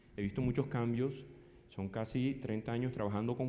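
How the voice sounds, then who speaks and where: The man's dark, mellow tone comes through with audible room echo. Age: 50s. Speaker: psychologist and conference speaker. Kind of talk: conference talk. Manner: fast.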